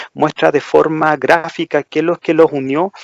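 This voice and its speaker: In a plain, everyday voice, a man talks fairly slowly at a fairly high pitch with fairly even intonation, the sound dry and close with no echo. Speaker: podcast co-host. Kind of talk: casual chat.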